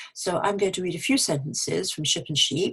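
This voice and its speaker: This woman's voice is somewhat breathy. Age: old. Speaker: English pronunciation teacher. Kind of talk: tutorial. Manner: clear.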